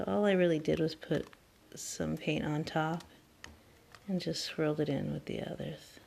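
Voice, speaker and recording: A soft-spoken woman talks at a moderate pace. Her pitch is very deep and low, with a dark, mellow tone. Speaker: craft hobbyist. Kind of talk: tutorial. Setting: at home, child asleep nearby. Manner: casual.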